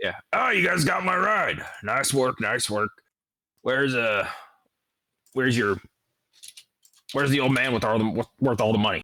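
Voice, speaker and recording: Using a put-on character voice, a man sounds raspy at a medium pitch. He keeps a moderate pace with long, frequent pauses. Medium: actual play. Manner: casual, profane, pushy.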